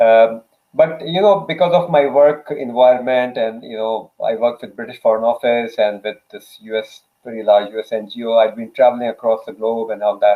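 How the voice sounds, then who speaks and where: A man with a non-native accent, medium-pitched with ordinary pitch variation, big swings in loudness and a moderate pace. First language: Urdu. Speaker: author, development worker. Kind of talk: interview answers.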